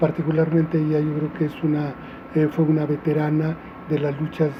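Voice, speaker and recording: A man speaks with a fairly high pitch. His pace is moderate. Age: 60s. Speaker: restaurateur and former activist. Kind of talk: interview testimony. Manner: halting, many fillers.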